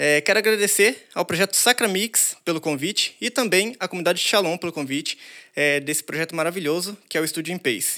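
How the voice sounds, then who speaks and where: Bright and sharp in tone, a man's high-pitched voice moves at a fairly quick pace with ordinary pitch variation, on a very clean recording with a silent background. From interior of São Paulo state, Brazil. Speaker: DJ. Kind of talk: live stream intro and outro. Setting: studio, live stream.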